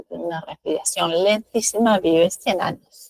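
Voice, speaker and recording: Heard dry and close with no echo, a woman in an unremarkable speaking voice speaks at a moderate pace with ordinary pitch variation. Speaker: acupuncture teacher. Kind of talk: lecture.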